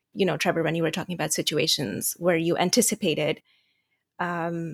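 A woman speaks with an Americanized Indian accent, fairly low in pitch and with vocal fry. The sound is dry and close, with no echo. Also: very clean recording, silent background. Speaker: international student. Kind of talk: moderated discussion.

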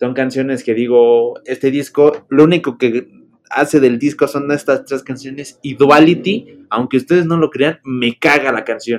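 The speaker talks at a fairly slow pace with a Mexican accent. The intonation stays fairly even. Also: man. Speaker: podcast host. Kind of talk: casual chat.

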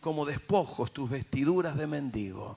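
Noticeable background noise surrounds a man with a fairly high pitch. His tone is animated, with ordinary pitch variation. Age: 60s. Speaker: pastor. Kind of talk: sermon.

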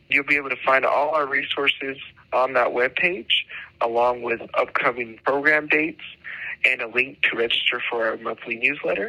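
A man with a New Mexico accent at a medium pitch, ordinary pitch variation and a moderate pace, amid noticeable background noise. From New Mexico (Tucumcari). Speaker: government agriculture official. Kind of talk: informational interview.

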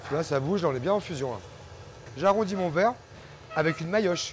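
A man speaks at a high pitch with lively intonation. Noticeable background noise runs underneath. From Auvergne, France. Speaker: glassblower. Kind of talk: casual chat. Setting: hot workshop with furnace and fans. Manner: hesitant.

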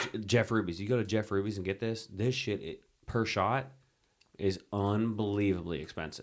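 An ordinary speaking voice: a man with an American accent, fairly low in pitch, ordinary pitch variation, moderate pace. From US Midwest / Philadelphia area. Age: 30s. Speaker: podcast host. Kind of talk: casual chat.

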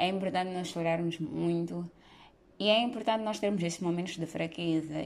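At a moderate pace, a woman with an unremarkable speaking voice talks in a fairly low pitch and fairly even intonation. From Mozambique. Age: 20s. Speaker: podcast host. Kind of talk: solo monologue podcast.

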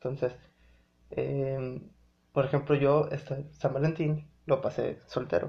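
A man speaks at a very slow pace with a fairly high pitch. His voice is somewhat breathy, with long, frequent pauses. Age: 20s. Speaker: podcast host. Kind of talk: casual monologue. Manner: halting, many fillers.

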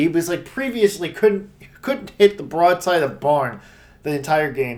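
A man talks with an unremarkable speaking voice. His pitch is fairly high and his pace moderate. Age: 30s. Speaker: sports podcast co-host. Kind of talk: casual chat.

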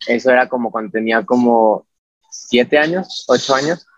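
A man with a central Mexican accent speaks at medium pitch with ordinary pitch variation, recorded dry and close with no echo. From Mexico, Puebla. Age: 20s. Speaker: figure skater. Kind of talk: casual interview.

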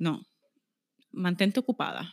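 A woman speaks at a fairly slow pace in a Puerto Rican accent, her intonation lively and her tone bright and sharp. The recording is very clean, with a silent background and a dry, close sound free of echo. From Puerto Rico, Aguadilla. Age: 30s. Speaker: lawyer and corporate negotiator. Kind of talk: casual interview.

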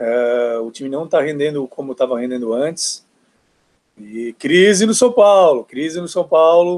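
A man's voice with lively intonation. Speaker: football podcast guest. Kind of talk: casual chat.

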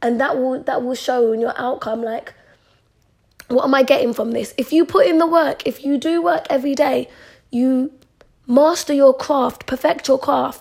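Her voice is high-pitched, and she keeps a moderate pace. This woman's pitch shows ordinary variation. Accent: London. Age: 20s. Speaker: podcaster. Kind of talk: casual chat. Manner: chatty, informal.

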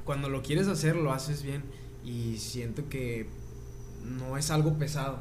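A man's somewhat breathy, fairly high voice, fairly even in intonation, slow-paced with long, frequent pauses, and with audible room echo. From Torreón, Comarca Lagunera, Mexico. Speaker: singer-songwriter. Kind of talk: casual chat.

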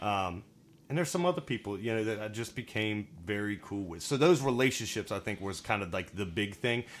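An ordinary speaking voice from a man, fairly low in pitch and fairly quick, with lively intonation and an American accent, on a very clean recording with a silent background. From Virginia. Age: 30s. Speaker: guest. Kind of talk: casual interview chat.

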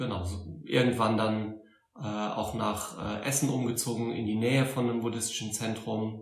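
A man with a slight Saarland accent speaks at a fairly slow pace and a fairly low pitch. His intonation stays fairly even, and audible room echo surrounds him. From Saarland, Germany (Saarbrücken). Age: 40s. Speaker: Buddhist teacher. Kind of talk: interview. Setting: Buddhist centre in Berlin.

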